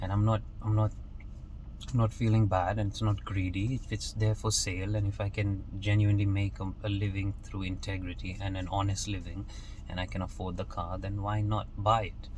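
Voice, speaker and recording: A man speaks at a moderate pace in a fairly low, somewhat breathy voice. His intonation is monotone and flat, with audible room echo. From Kenya. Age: 20s. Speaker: motivational vlogger. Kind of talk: motivational monologue. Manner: casual, with frequent repetitions and fillers.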